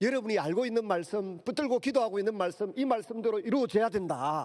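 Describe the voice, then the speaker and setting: A man's dark, mellow voice in a Gyeongsang accent on a very clean recording with a silent background. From Gyeongsang region, South Korea. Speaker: pastor. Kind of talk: sermon. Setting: church.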